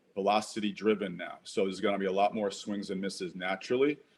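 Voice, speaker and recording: A man speaks in a plain, everyday voice. His pitch is fairly low, and his intonation stays fairly even. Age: 60s. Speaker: former professional baseball player. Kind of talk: interview. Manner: casual, with many fillers.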